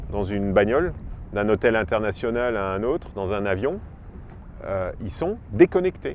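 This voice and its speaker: A man talks at a fairly slow pace. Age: 40s. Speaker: freediver and ocean photographer. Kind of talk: interview. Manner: hesitant, many fillers.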